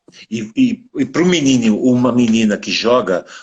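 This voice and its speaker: This man's pitch swings very widely. He talks at a moderate pace. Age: 60s. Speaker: podcast host, former rugby player. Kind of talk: casual interview chat.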